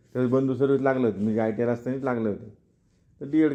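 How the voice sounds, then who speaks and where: Fairly even intonation marks this man's dark, mellow tone. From Maharashtra, Ahmednagar district. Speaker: small business owner. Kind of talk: personal success story interview.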